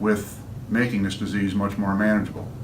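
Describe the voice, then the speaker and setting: A man speaks with a fairly low pitch. Audible room echo and noticeable background noise surround his voice. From upstate New York. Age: 60s. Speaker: patient and musician. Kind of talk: testimony. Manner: halting.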